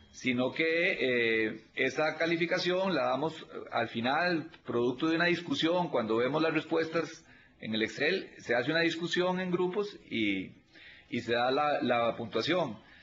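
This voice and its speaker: Fairly high-pitched man at a fairly slow pace, lively in intonation, very even in loudness, with audible room echo. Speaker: auditor at a public audit institution. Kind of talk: videoconference consultation. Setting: video call.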